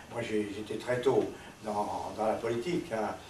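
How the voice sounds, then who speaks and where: A man's medium-pitched voice at a fairly slow pace, with audible room echo and noticeable background noise. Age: 80s. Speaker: resistance veteran. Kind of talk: testimony. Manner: halting.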